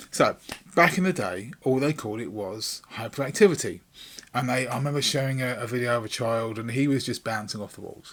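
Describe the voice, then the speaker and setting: A fairly quick voice with an English accent, ordinary pitch variation and big swings in loudness. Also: man, medium pitch for a man. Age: 50s. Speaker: YouTuber. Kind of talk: casual vlog talk. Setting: home recording room. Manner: rambling with many fillers.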